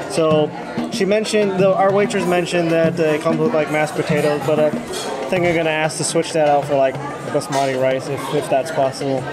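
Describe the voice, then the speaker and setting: Clear music plays in the background. The voice moves at a fairly quick pace with ordinary pitch variation. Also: man. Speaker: food vlogger. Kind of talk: casual vlog chat. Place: cafe. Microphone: phone near.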